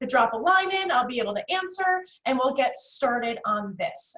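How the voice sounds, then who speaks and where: Fairly quick and high-pitched, a woman with an American accent speaks with lively intonation. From US Northeast, North Jersey. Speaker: executive assistant trainer, presenter. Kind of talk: webinar presentation. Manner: fast; high energy.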